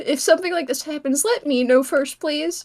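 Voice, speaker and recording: A put-on character voice is pitched high. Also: moderate pace. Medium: machinima. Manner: earnest, interjecting.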